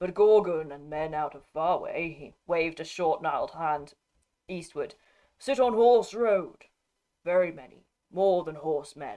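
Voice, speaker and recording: A put-on character voice with a guttural edge, pitched in the middle range. It moves at a moderate pace. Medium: read story. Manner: halting broken speech.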